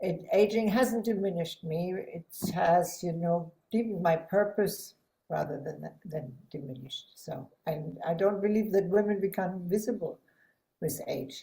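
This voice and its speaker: At a fairly slow pace, a woman with a dark, mellow tone speaks somewhat breathily at a medium pitch with ordinary pitch variation. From Germany (Hanover). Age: 60s. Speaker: psychotherapist and healer. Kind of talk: podcast interview.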